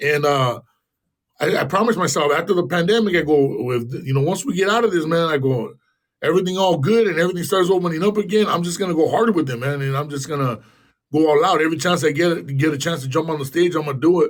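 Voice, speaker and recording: With an American accent, a man talks at a very fast pace in a fairly high pitch. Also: ordinary pitch variation. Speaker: actor and rapper. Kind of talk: casual chat.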